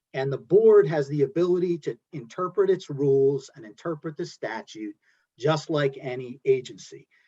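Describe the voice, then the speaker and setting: A man with a New Jersey accent speaks at a moderate pace in a fairly high pitch with ordinary variation, his tone dark and mellow, the sound dry and close with no echo. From New Jersey (Belleville). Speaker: environmental lawyer. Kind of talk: panel discussion. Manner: halting.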